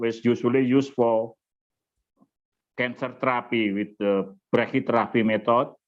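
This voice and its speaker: The speech moves at a moderate pace in a monotone, flat intonation against a quiet background. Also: man. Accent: Javanese. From Indonesia, Java. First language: Indonesian or Javanese. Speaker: nuclear society chairman. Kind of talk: webinar opening remarks. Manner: halting.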